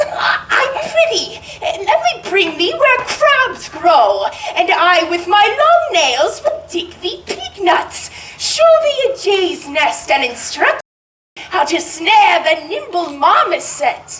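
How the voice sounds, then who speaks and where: A woman puts on an extremely high-pitched character voice. She speaks very slowly, with a slight echo. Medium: stage play. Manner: stammering.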